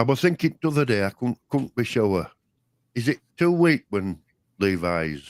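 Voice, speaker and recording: On a very clean recording with a silent background, the sound is dry and close with no echo. A man speaks at a medium pitch and a moderate pace, with very wide pitch swings. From Yorkshire. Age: old. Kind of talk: casual livestream chat.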